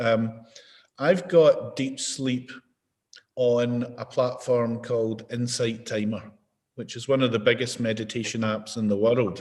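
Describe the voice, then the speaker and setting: A man speaks with a Scottish accent at a fairly slow pace. His pitch is medium, and his intonation fairly even. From Scotland. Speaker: mindfulness and behaviour change expert. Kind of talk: interview answer. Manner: conversational, relaxed.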